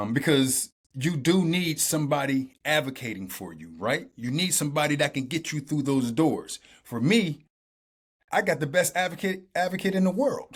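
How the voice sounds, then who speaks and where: Animated tone with vocal fry, an American accent and a moderate pace. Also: man, fairly high pitch for a man, lively intonation. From Youngstown, Ohio, US Midwest. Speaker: actor. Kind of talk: podcast interview, storytelling. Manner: repeats words, some stumbling.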